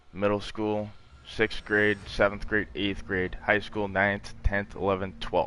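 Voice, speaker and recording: A man at a very slow pace, fairly low in pitch, with monotone, flat intonation and a bright, sharp tone. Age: 20s. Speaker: gamer streamer. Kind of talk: casual chat. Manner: calm.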